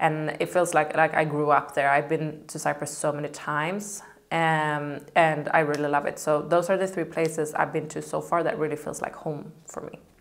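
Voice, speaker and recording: This woman's voice sits very deep and low, with a Swedish accent. Her intonation is monotone and flat. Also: moderate pace. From Sweden. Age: 30s. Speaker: model and content creator. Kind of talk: casual Q&A vlog. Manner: casual, with many fillers.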